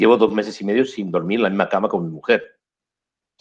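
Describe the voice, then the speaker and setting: Talking at a very fast pace, a man keeps a fairly low pitch. His intonation is fairly even. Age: 60s. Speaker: photojournalist. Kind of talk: interview. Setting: video call.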